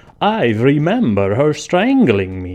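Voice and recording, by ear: Using a put-on character voice, a man speaks at a fairly slow pace and a medium pitch.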